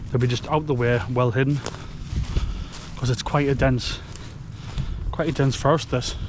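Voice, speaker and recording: A man speaking at a fairly quick pace amid noticeable background noise. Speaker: bushcraft vlogger. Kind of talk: casual outdoor vlog narration. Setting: outdoors in woodland. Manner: fast.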